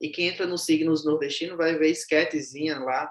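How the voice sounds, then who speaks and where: A normal speaking voice, male, pitched fairly high, moderate in pace. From Brazilian Northeast. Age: young. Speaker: social media content creator, humorist. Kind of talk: interview conversation.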